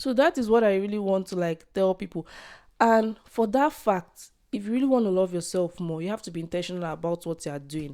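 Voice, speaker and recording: Heard in a very clean recording with a silent background, a woman with a dark, mellow tone and medium pitch speaks at a fairly quick pace. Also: lively intonation. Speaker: podcaster. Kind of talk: casual podcast talk to camera.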